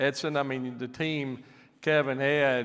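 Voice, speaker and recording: This man has a Southern US accent. His pitch sits in the medium range. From US South, Alabama. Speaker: aircraft company president. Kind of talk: stage presentation. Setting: stage with audience. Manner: animated.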